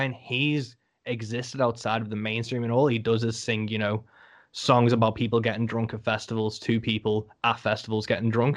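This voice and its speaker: Someone with a Liverpool accent talks at a fairly quick pace against a quiet background. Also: man. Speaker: podcast host, musician. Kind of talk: interview.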